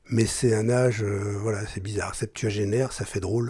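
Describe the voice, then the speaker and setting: In a very clean recording with a silent background, a man speaks at a moderate pace with a fairly low pitch, a somewhat breathy, dark and mellow tone, and monotone, flat intonation. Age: 70s. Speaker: journalist and broadcaster. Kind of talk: testimony. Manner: halting.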